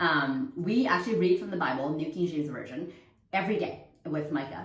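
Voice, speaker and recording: A woman's very deep, low voice in a Vietnamese accent, with audible room echo. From Quebec, Canada (Montreal). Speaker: homeschooling mother and vlogger. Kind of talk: casual talk to camera. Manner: hesitant, many fillers and restarts.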